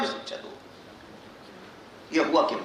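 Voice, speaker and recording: A man with a Bihari accent is heard with audible room echo and noticeable background noise. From Bihar, India. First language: Magahi (speaking Hindi). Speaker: education professor and academic director. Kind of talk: conference keynote speech.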